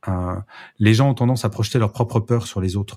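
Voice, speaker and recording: A man speaks at a fairly low pitch with ordinary pitch variation, his tone dark, mellow and somewhat breathy. The recording is very clean, with a silent background. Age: 50s. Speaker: speaker and management author. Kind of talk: casual interview chat.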